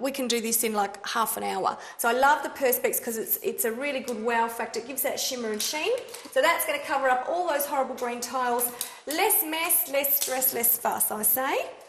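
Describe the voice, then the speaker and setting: A high-pitched woman's voice with audible room echo and light background noise. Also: fairly quick pace. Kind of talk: explaining plans to a client. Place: kitchen.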